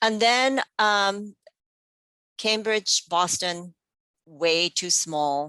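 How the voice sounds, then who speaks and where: With a Japanese accent, a woman speaks at a very slow pace with long, frequent pauses, her medium-pitched voice bright and sharp with ordinary pitch variation, in a very clean, silent recording that is dry and close with no echo. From Japan, Tokyo. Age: 50s. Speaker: podcast guest, parent. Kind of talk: personal storytelling.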